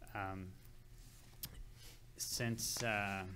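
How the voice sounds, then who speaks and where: The tone is bright and sharp. There is audible echo in the room. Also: man. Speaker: public health administrator. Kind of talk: public meeting presentation. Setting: city council meeting. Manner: halting, many fillers and repetitions.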